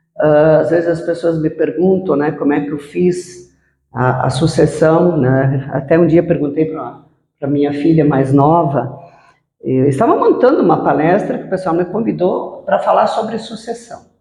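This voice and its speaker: In a room with audible echo, a woman with a very deep, low pitch talks at a moderate pace with ordinary pitch variation. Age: 60s. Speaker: businesswoman. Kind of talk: interview.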